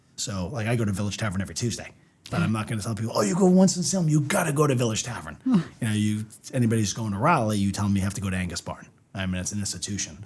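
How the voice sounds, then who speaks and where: The speaker talks at a very fast pace in a Boston accent. The intonation is lively. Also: man, fairly low pitch for a man. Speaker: winery owner. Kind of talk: casual chat. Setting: studio podcast on video.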